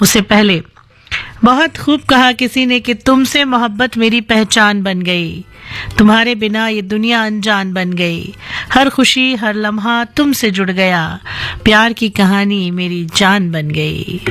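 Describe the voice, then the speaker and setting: A woman's fairly high voice with ordinary pitch variation, music playing in the background. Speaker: radio jockey. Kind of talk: radio show hosting.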